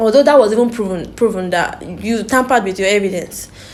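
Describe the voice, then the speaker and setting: A woman speaks at a fairly quick pace in a fairly high pitch, her intonation lively, with audible room echo around her. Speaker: YouTube commentator reacting to interview. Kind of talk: reaction commentary. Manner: fast; animated.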